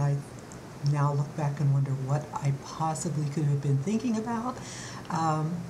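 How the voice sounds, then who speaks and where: Over noticeable background noise and audible room echo, a woman with a very deep, low pitch speaks at a moderate pace with very even loudness. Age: 60s. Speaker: beauty vlogger. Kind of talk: vlog monologue. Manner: halting, many fillers.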